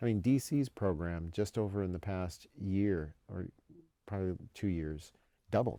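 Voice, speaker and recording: Speaking with an American accent, a man has a very deep, low pitch and a dark, mellow tone. He talks at a fairly slow pace with ordinary pitch variation. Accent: northern US accent, slips out at times. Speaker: military education official. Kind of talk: podcast interview. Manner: many repetitions and false starts.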